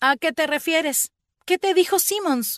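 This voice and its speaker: A woman puts on a squeaky character voice at an extremely high pitch, speaking at a moderate pace with ordinary pitch variation. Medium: read story. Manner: blunt, emotional.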